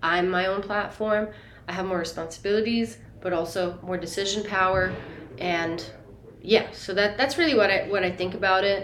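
Amid noticeable background noise and audible room echo, a woman talks fairly quickly at a medium pitch with ordinary pitch variation. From Italy. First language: Italian. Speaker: singer-songwriter. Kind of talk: interview.

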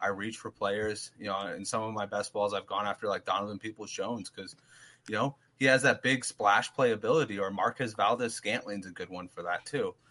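A man speaks with a bright, sharp tone. His intonation is fairly even, and the background is quiet. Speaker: fantasy football co-host. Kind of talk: casual fantasy football chat.

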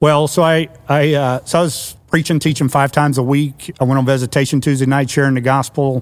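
A man speaks with an American accent at a fairly high pitch. His delivery is fairly quick and monotone, with flat intonation. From US Mid-Atlantic (Washington DC area). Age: 60s. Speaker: church network executive director, pastor. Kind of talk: casual chat.

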